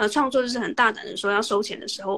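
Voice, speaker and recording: Woman talking at a very fast pace. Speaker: podcaster interviewing the host. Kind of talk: casual interview chat. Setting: Instagram livestream.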